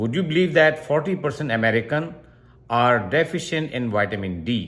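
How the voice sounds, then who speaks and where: A man speaks at a fairly high pitch with vocal fry and very wide pitch swings. His pace is moderate. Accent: Pakistani. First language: Urdu. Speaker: doctor. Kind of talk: health explainer tutorial.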